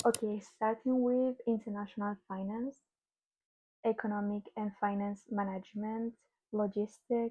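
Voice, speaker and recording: A woman speaks in a fairly high voice at a fairly slow pace. Her intonation is monotone and flat. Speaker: student vlogger. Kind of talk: casual explainer vlog. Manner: halting, with fillers.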